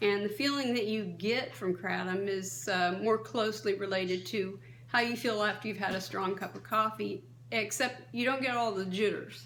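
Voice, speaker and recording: A woman speaks at a moderate pace with lively intonation and a medium pitch. There is audible room echo and noticeable background noise. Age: 60s. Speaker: kratom advocate, vlogger. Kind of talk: advocacy monologue. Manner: impassioned.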